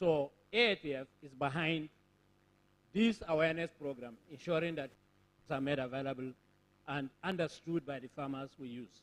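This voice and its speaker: At a moderate pace, a man speaks with a fairly high pitch, ordinary pitch variation, long, frequent pauses and big swings in loudness. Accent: Nigerian. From Nigeria, Borno State. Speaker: conference speaker, agricultural technology organization representative. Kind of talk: formal conference speech. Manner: formal.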